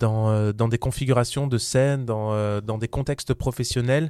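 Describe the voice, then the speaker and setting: At a fairly slow pace, a man speaks with a medium pitch, fairly even intonation and a dark, mellow tone. The sound is dry and close, with no echo. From southern France, Vaucluse. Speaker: musical theatre actor and producer. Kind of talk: casual interview. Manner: hesitant, many fillers and repetitions.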